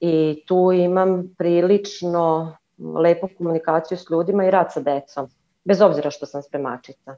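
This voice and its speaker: With a dark, mellow tone and fairly low pitch, a woman talks at a moderate pace with fairly even intonation. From Croatia. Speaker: caller, cleaner. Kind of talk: call-in conversation. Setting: video call.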